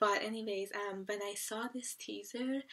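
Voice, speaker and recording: A woman speaks at a fairly slow pace with a fairly high pitch. Her tone is bright and sharp against a quiet background. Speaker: K-pop reaction youtuber. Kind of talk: reaction video monologue. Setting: at home at night. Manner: hesitant, many fillers. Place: home room. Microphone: webcam.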